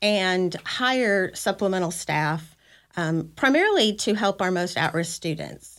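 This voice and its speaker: Over a silent background in a very clean recording, a woman talks at a fairly slow pace with ordinary pitch variation in a plain, everyday voice. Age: 50s. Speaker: school district director of federal programs. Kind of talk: casual interview chat.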